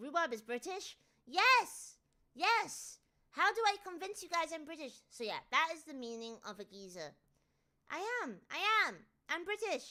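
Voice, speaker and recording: A woman uses a raised, projected voice at an extremely high pitch, bright and sharp in tone. She goes at a fairly slow pace, with very wide pitch swings and big swings in loudness. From North of England, UK. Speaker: streamer chatting with viewers. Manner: animated, emphatic.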